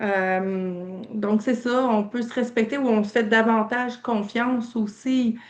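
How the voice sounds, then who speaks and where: Speaking at a very slow pace, a woman has a fairly high pitch and ordinary pitch variation. She has a slight Quebec accent. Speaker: training participant. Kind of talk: casual feedback in online meeting. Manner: hesitant, many fillers.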